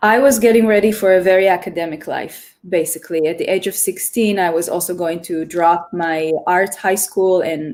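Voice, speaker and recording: A woman talks at a moderate pace with an Israeli accent. Her pitch is fairly low and her intonation fairly even. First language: Hebrew. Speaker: choreographer. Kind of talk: interview.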